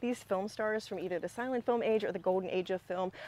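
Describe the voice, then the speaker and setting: A woman speaks at a fairly quick pace and a medium pitch, with ordinary pitch variation. Her tone is dark and mellow, and the sound is dry with no echo. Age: 40s. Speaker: music commentary youtuber. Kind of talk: video essay monologue. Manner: conversational, filler words. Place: garden.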